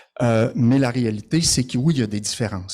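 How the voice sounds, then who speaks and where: On a very clean recording with a silent background, a man with a Quebec accent speaks at a moderate pace in a medium-pitched voice with a dark, mellow tone. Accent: Québécois French. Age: 60s. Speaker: social worker and conference speaker. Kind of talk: conference presentation. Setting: conference with audience.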